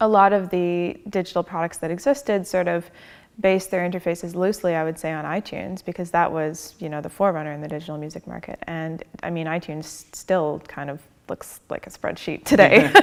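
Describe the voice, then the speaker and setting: Speaking with a Canadian accent in a normal speaking voice, a woman with a fairly low pitch and ordinary pitch variation talks at a fairly quick pace with big swings in loudness. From Canada. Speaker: designer and tech startup co-founder. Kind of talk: onstage interview. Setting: church stage with audience.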